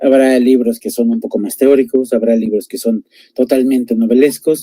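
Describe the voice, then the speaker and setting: In a dark, mellow tone, a man talks at a moderate pace with a medium pitch and fairly even intonation. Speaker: book reviewer, teacher. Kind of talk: casual book recommendation chat. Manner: hesitant, many fillers.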